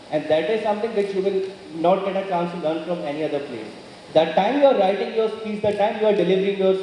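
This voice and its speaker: A man with a Haryana accent talks in a high voice with ordinary pitch variation, amid noticeable background noise and audible room echo. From Haryana, India. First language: Haryanvi. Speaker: motivational speaker. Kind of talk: motivational speech. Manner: earnest.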